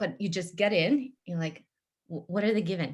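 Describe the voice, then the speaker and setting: Somewhat breathy, a woman's voice sits at medium pitch. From former Soviet Union. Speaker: procurement executive. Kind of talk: panel interview. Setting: online webinar.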